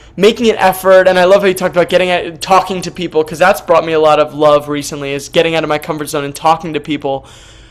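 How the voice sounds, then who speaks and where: A man talks very fast at a high pitch with ordinary pitch variation. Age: 20s. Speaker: workshop participant. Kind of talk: Q&A question. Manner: halting.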